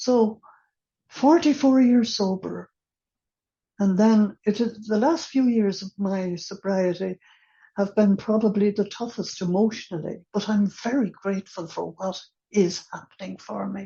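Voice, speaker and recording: A somewhat breathy woman with an Irish accent, medium pitch, ordinary pitch variation, and a fairly slow pace. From Ireland. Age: 80s+. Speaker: recovery meeting speaker. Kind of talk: testimony. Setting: online meeting.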